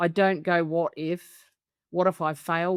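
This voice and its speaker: In a very clean recording with a silent background, a woman with a fairly low pitch sounds dry and close, with no echo. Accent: Australian. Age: 70s. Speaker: business coach. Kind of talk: testimonial interview. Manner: animated.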